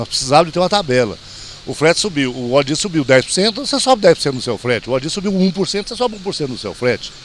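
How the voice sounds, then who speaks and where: Over noticeable background noise, a man with a fairly high voice talks very fast with lively intonation. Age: 60s. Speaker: truck driver. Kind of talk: street interview.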